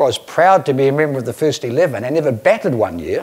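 A man with lively intonation. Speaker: keynote speaker. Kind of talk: conference presentation. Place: hall. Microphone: lapel.

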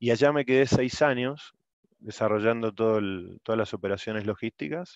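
A man with an Argentine accent talks at a moderate pace with ordinary pitch variation, the sound dry with no echo and the background quiet. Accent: Rioplatense Argentine Spanish. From Argentina, Buenos Aires. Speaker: oil industry logistics engineer; presenter. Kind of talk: workshop presentation. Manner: halting, many repetitions. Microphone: video call.

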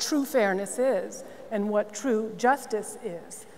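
Fairly slow pace in an American accent, fairly even intonation and light background noise. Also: woman. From Massachusetts, Newton; Massachusetts. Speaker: nonprofit CEO; panelist. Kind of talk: panel discussion. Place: stage.

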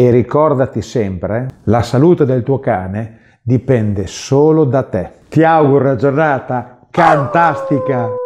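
A man's fairly slow speech in a Bolognese accent. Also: ordinary pitch variation. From Bologna, northern Italy; northern Italy. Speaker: pet food producer and video host; video host. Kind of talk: promotional presentation. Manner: friendly direct address.

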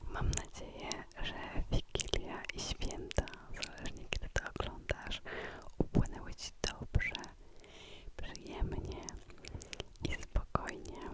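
A woman whispers very slowly, with long, frequent pauses over noticeable background noise. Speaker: ASMR creator. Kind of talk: casual greeting to camera. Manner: close whisper; slow, calm, soothing.

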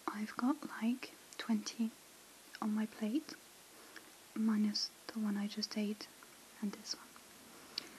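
A soft-spoken woman with a gentle tone, at a very slow pace with long, frequent pauses, over light background noise. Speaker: ASMR creator. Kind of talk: asmr whisper. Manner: soft-spoken, slow and gentle; hushed and relaxing, with hesitant pauses. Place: home room.

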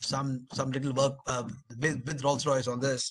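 A man speaks with an Indian accent in a fairly high pitch. His tone is bright and sharp, and the background is quiet. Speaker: webinar moderator, army colonel; webinar panelist. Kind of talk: panel moderation. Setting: video call. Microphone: video call.

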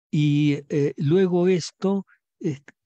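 With a dark, mellow tone and a dry, close sound with no echo, a man speaks slowly at a fairly high pitch with ordinary pitch variation.

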